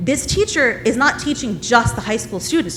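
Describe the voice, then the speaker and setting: A woman with a high voice talks loudly at a fairly quick clip, her pitch swinging very widely over music playing in the background. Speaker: parent speaking at public comment. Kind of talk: public comment debate. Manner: animated.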